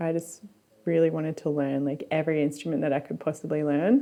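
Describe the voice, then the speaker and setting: Speaking with an Australian accent, a woman keeps a fairly quick pace. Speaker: musician. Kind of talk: documentary interview.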